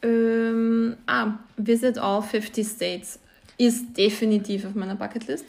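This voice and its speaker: A woman's fairly high, somewhat breathy voice at a very slow pace, with fairly even intonation. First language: Croatian or Slovenian (speaking German). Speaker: podcast co-host. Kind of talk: casual chat.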